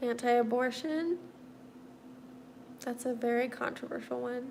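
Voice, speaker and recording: Over noticeable background noise and audible room echo, a woman talks at a fairly slow pace in a high pitch with fairly even intonation. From US Midwest (Missouri). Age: 30s. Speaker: livestreamer, artist with quadriplegia. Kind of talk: casual livestream chat answering viewer comments.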